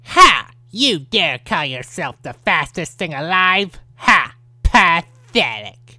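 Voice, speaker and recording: This is a put-on character voice at middle pitch. It moves at a very slow pace. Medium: voice reel. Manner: taunting, cocky.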